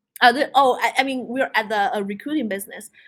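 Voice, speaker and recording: A woman with a non-native accent, ordinary pitch variation, and a very clean recording over a silent background. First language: not English. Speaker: tech speaker. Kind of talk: presentation.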